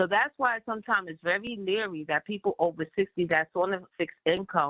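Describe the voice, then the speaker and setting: At a fairly quick pace, the woman talks in an ordinary speaking voice, her pitch varying in an ordinary way. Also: medium pitch for a woman. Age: 60s. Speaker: community meeting participant. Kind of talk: community board meeting Q&A. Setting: phone call. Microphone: phone line.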